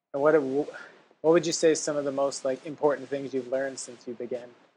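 A quiet man's voice at a medium pitch. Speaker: podcast host, writer and travel entrepreneur. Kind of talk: interview; scripted intro and outro. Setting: remote audio call with crackling mic. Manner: quiet on the recording.

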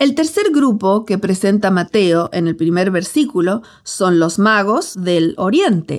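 A woman with a Latin American accent, very wide pitch swings, and a fairly slow pace. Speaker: pastor and author. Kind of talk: audiobook narration.

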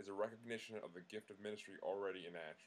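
With an American accent, a man talks at a fairly quick pace in a fairly low pitch, his intonation fairly even, in an unremarkable speaking voice. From Long Island, New York. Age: 30s. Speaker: activist and law student. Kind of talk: scripted narration.

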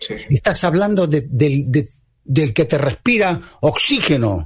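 This man talks at a fairly slow pace in a fairly high pitch, with vocal fry and very wide pitch swings. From Argentina. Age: 70s. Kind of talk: radio interview.

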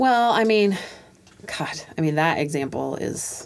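Lively intonation marks the speech of a woman with an American accent. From Tacoma, Washington, US. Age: 40s. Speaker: assistant principal. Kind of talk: casual chat. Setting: studio.

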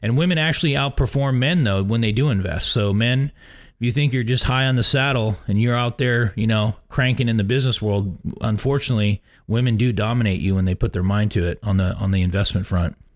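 On a very clean recording with a silent background, a man with a normal speaking voice talks at a fairly quick pace and medium pitch, with ordinary pitch variation and very even loudness. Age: 40s. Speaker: radio host, retirement planner. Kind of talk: radio show monologue. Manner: casual, filler-heavy.

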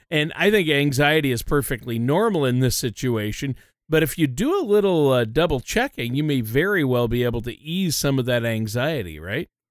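With an ordinary speaking voice, a man talks at a fairly quick pace with fairly high pitch, lively intonation and hardly any pauses. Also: very clean recording, silent background. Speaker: co-host and announcer. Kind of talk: informational podcast discussion.

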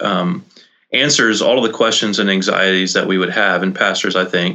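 This is a plain, everyday voice. A man talks at a fairly quick pace and fairly low pitch. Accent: American. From South Texas (Rio Grande Valley). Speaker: pastor and author. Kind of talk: casual interview.

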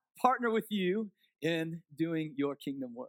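A man speaks in a raised, projected voice at a moderate pace, with a bright, sharp tone and an animated, passionate delivery. The sound is dry and close, with no echo. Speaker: guest preacher. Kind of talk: sermon, fervent prayer-like preaching that builds into roaring declarations. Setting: church with congregation. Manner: animated, passionate, Spirit-led and loud.

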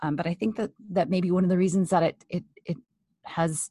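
Somewhat breathy and fairly low in pitch, a woman speaks at a moderate pace with fairly even intonation in a dry, close sound with no echo. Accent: American. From California. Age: 50s. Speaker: family therapist. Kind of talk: interview. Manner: halting.

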